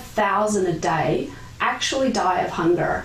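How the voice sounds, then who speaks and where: Someone with an Australian accent speaks amid noticeable background noise and audible room echo. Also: woman. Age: 50s. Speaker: geneticist. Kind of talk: pre-recorded conference talk. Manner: formal.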